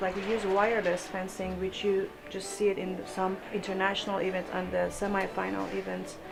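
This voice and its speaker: Over music in the background, a woman with a Persian accent talks at a fairly quick pace and a medium pitch. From Iran. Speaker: fencing coach. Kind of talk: interview. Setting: fencing club. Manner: halting.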